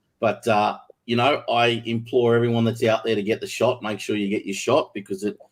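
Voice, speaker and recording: A man's medium-pitched voice with an Australian accent, fairly quick and flat, monotone in intonation. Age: 50s. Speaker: record label founder. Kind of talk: interview.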